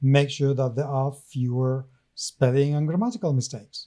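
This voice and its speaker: A man speaks with a non-native accent and a fairly high pitch. His tone is dark and mellow on a very clean recording with a silent background. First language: not English. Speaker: podcast co-host. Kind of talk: casual chat.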